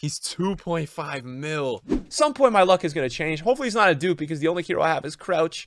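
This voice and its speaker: A man talks loudly at a fairly quick pace with hardly any pauses, high in pitch. His tone is animated and his intonation lively. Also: dry sound with no echo. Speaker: gaming YouTuber and streamer. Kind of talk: casual gaming commentary, pack opening. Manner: excitable, loud, animated. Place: home room.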